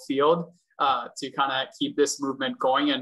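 A man speaks at a fairly high pitch in a bright, sharp tone. His intonation is monotone and flat over a quiet background. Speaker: vice chair of mentorship at a bar association. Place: home room. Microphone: video call.

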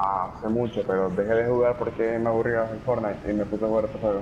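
Speaking fast, a man uses a fairly low voice. His pitch barely moves.

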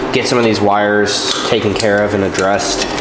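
Noticeable background noise and audible room echo accompany a man as he speaks. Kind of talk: casual repair vlog narration. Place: garage.

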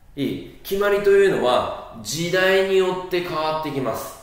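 A man's high pitch with ordinary pitch variation and a fairly slow pace, in strong room echo. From Japan. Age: 30s. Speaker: social studies teacher, former junior high teacher. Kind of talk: lecture. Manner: casual, filler-heavy. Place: classroom.

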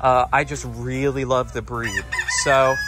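The pace is fairly slow, and the sound is dry with no echo. Faint music plays in the background. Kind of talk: casual vlog chat. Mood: enthusiastic, relaxed. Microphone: phone near.

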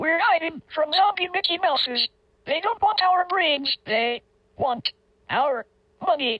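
In a cartoonish character voice at an extremely high pitch, the speaker talks at a fairly slow pace with long, frequent pauses.

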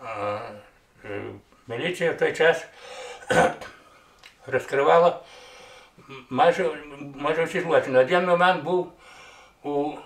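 Speaking at a fairly slow pace with long, frequent pauses, a man with a fairly high pitch is heard amid audible room echo. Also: ordinary pitch variation. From Hutsul region, Ukrainian Carpathians; Ukraine. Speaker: retired policeman. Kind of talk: interview answer; interview answer, storytelling. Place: home room.

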